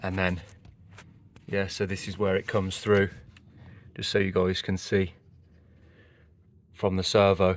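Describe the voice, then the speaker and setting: Speaking at a moderate pace with a British accent, a man delivers his words in a very deep, low pitch with monotone, flat intonation. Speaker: car mechanic youtuber. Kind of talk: tutorial. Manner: soft-spoken.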